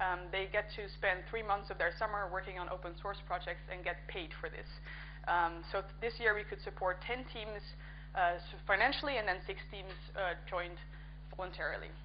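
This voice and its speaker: A woman with a Dutch accent, at a moderate pace. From Netherlands. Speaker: conference speaker and coding workshop organizer. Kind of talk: conference talk. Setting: conference stage with audience.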